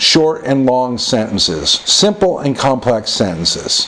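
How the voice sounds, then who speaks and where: A man speaks with an American accent at a fairly slow pace. Noticeable background noise sits behind him. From United States. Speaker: English test tutor. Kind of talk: tutorial.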